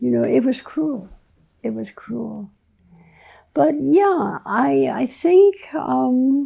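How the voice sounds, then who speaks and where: Long, frequent pauses break up a woman's speech at a very slow pace. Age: 80s. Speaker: physician and medical educator. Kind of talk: casual chat. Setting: live conversation.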